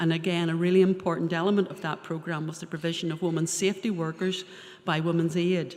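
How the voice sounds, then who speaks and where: With a Northern Irish accent, a woman talks very fast at a fairly low pitch, her intonation monotone and flat while her loudness swings widely. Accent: Northern Irish (Ballymena). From Northern Ireland, Ballymena. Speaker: probation service adviser. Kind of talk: seminar talk.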